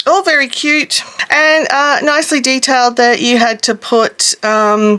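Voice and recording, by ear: A woman's high-pitched voice, bright and sharp in tone yet clear and smooth, with fairly even intonation and a fairly slow pace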